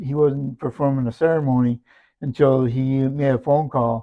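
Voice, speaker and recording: A man uses a normal speaking voice at a medium pitch. His pace is fairly slow and his intonation fairly even. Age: 60s. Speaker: church member. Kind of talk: interview testimony. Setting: church.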